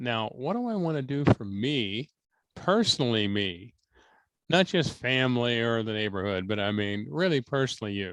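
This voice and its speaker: A man with an American accent talks at a moderate pace and medium pitch with lively intonation, a plain, everyday voice. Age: 60s. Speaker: spiritual medium. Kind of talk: psychic reading. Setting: video call.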